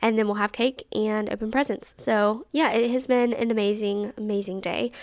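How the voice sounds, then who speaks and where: Woman with a Southern US accent, fairly high in pitch, animated in tone and fairly quick in pace. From Alabama. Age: 20s. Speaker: podcast host. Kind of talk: casual chat.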